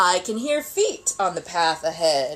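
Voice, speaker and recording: At a fairly slow pace, the speaker delivers lines in a put-on character voice. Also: woman. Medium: read story.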